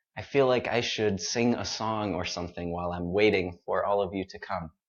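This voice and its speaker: Fairly low in pitch, this man has an ordinary speaking voice with a General American accent and fairly even intonation. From United States. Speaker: English teacher. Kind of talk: live-stream pronunciation lesson. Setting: live stream. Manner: clear, deliberately paced.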